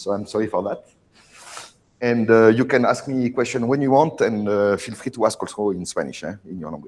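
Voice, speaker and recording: A man with a strong French accent speaks at a fairly quick pace in a medium pitch, with big swings in loudness. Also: ordinary pitch variation. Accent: very strong French. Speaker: oceanography researcher. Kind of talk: lecture. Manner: halting, many fillers.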